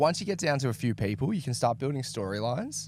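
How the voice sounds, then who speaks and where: A man with an Australian accent. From Tasmania, Australia. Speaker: livestream commentator. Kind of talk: live commentary.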